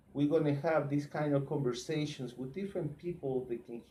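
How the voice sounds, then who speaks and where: The speaker has a dark, mellow, somewhat breathy tone and speaks in a Spanish accent. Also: man. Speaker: truck drivers' association leader, live show host. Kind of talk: live Facebook talk show interview. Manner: halting, repeats words.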